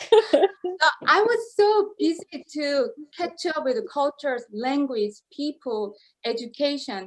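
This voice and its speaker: Speaking at a very slow pace with a Korean accent, a woman uses a high pitch with very wide pitch swings. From South Korea. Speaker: opera singer. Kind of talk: interview. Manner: halting.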